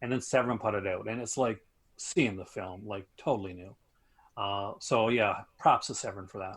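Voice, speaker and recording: Fairly even intonation in a Canadian accent, with big swings in loudness, a moderate pace and a very clean recording over a silent background. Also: man. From Canada. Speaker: film enthusiast, aspiring film teacher. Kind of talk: casual chat. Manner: halting, many fillers.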